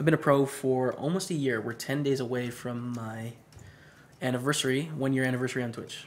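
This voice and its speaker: A man talks fairly quickly at a medium pitch, with fairly even intonation. He has an ordinary speaking voice. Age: 20s. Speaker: poker streamer. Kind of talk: live stream commentary with chat. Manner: casual, conversational.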